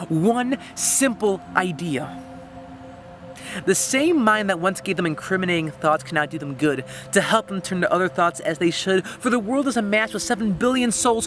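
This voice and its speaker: With music in the background, a man speaks at a fairly quick pace. His voice is high pitched, with lively intonation. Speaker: slam poet. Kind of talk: slam poetry performance. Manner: earnest, emotional.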